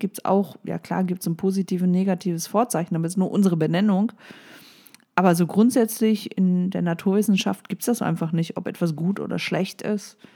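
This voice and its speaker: A woman with a normal speaking voice talks at a fairly quick pace, her medium pitch held in fairly even intonation. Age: 40s. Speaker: life coach podcaster. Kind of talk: solo motivational podcast monologue. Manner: casual with frequent fillers.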